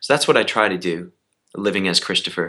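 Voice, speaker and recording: A man talks at a very fast pace in a bright, sharp tone. His intonation stays fairly even. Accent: Canadian. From Canada, Edmonton, Alberta. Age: 20s. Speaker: stage actor. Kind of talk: casual interview.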